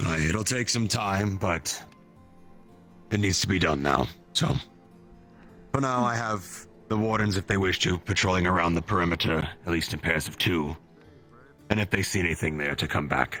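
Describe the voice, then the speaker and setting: Over clear music in the background, a man puts on a raspy character voice with a very deep, low pitch, talking at a moderate pace with long, frequent pauses. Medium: game stream. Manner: brisk, commanding.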